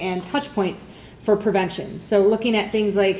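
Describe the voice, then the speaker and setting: Against noticeable background noise, a woman speaks in a medium pitch with monotone, flat intonation. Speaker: prevention coordinator hosting a community meeting. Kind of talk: meeting announcements to a live audience. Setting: meeting room with audience. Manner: fast.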